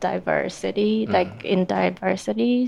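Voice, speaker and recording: A woman speaks with a Japanese accent. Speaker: illustrator and art instructor. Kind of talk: panel discussion. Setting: live event venue.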